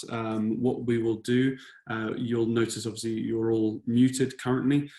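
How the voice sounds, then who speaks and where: A man with a British accent, medium pitch, fairly slow pace. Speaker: software solution designer. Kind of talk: webinar presentation. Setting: online webinar. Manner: hesitant, many fillers.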